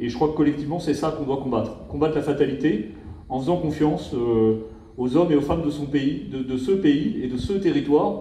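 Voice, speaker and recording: A man with a strong Parisian accent and a fairly high pitch talks at a fairly quick pace. Audible room echo and noticeable background noise surround his voice. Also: ordinary pitch variation. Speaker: prefect (senior state official). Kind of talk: official speech at an awards ceremony. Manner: hesitant, many fillers and repetitions.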